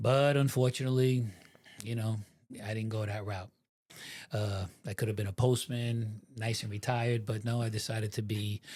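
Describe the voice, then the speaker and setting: Somewhat breathy and at a medium pitch, a man speaks with an American accent at a moderate pace, leaving long, frequent pauses. His intonation is fairly even, and the very clean recording has a silent background. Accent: New York accent, somewhat changed. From New York (New Rochelle, Westchester). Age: 60s. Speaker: former mafia member and FBI informant. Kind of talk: interview. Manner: casual, halting with fillers.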